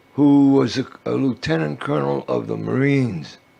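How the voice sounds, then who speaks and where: A man speaks fairly slowly with an American accent, noticeable background noise behind him. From New York City. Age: 80s+. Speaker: activist and war veteran. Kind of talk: interview. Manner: halting.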